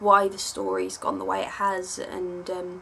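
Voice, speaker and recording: A woman speaks with an English accent. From England. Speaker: online fiction writer. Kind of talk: Q&A video monologue. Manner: hesitant, many filler words.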